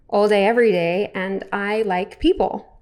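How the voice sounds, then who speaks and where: Here a woman talks in an Australian accent. Her medium pitch shows ordinary variation. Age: 30s. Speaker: vlogger. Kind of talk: casual monologue to camera. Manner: hesitant, many fillers.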